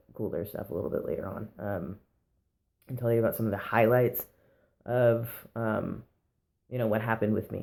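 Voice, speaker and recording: The man's voice is fairly low and dark, mellow in tone, with vocal fry. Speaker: vlogger sharing transition update. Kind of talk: casual vlog monologue. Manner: hesitant, many fillers.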